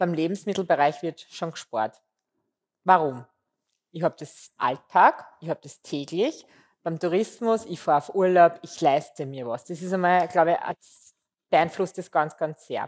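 Fairly low in pitch, a woman speaks at a fairly slow pace with ordinary pitch variation and big swings in loudness. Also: quiet background. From Austria, southern Waldviertel (Lower Austria); Lower Austria. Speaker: food marketing executive; interview guest. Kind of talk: interview. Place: studio. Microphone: headset.

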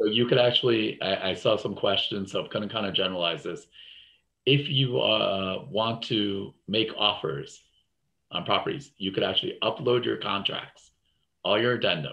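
Against a quiet background, a man with an American accent talks at a moderate pace, his medium pitch showing ordinary pitch variation. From New Jersey. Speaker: real estate investing coach; webinar host. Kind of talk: educational webinar. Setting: video call. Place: home room. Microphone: webcam.

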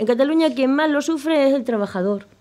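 The woman's intonation is lively, and she keeps a fairly quick pace. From Extremadura, Spain. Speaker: politician. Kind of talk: political debate. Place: studio. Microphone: studio mic.

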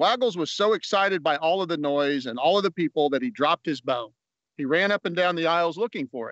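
Talking at a very fast pace, a man with a high voice is heard in a dry recording with no echo. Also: quiet background. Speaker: guest reader. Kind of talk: reading aloud a children's story, bedtime story style. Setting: outdoors at an amphitheater, video. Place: open country. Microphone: phone near.

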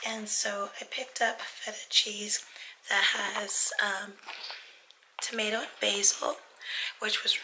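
A woman whispers with an American accent at a fairly slow pace, leaving long, frequent pauses over noticeable background noise. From United States. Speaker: vlogger. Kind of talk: casual vlog talk. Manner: short of breath.

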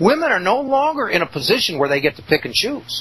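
Very fast speech from a man, over noticeable background noise. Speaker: radio host. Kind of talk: angry rant. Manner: indignant, emphatic; sarcastic, scornful.

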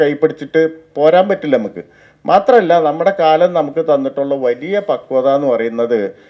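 This man has a dark, mellow tone. His pitch is fairly high. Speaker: literary speaker. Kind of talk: speech at a book event.

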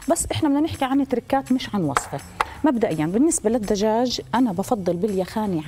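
With light background noise behind her, a woman speaks at a fairly quick pace. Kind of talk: tutorial. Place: studio. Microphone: lapel.

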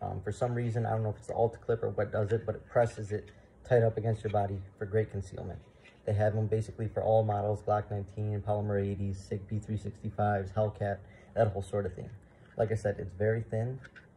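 The voice is somewhat breathy with a dark, mellow tone and monotone, flat intonation. It moves at a very fast pace over light background noise. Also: man, fairly low pitch for a man. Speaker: firearms channel host. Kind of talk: product review. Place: home room. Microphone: phone near.

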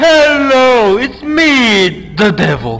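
The speaker uses a put-on character voice with a fairly high pitch. Faint music plays in the background. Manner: imitating a red character.

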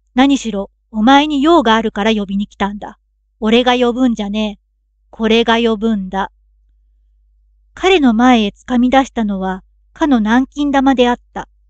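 Calm in tone, a woman with a fairly high pitch talks at a moderate pace, with long, frequent pauses. Her loudness swings widely, and the sound is dry and close, with no echo. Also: ordinary pitch variation. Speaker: narrator. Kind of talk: audiobook reading of a classic story. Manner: calm, sleep-inducing.

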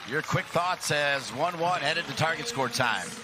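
A man with a fairly high pitch sounds animated and excited. He speaks at a fairly slow pace over noticeable background noise. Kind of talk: live sports commentary. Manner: animated play-by-play, excited, punchy calls on shots and goals.

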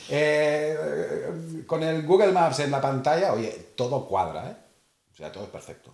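There is audible room echo as a man speaks at a fairly slow pace. His loudness swings a lot. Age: 50s. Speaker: motorcycle rider. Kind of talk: casual chat.

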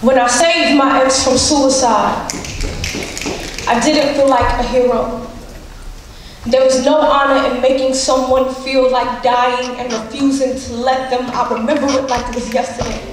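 A woman at a high pitch and moderate pace, with monotone, flat intonation, long, frequent pauses, strong room echo and noticeable background noise. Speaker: slam poet. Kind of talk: slam poetry performance. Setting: live stage. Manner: emotional, intense. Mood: intense, emotional, grieving. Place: stage.

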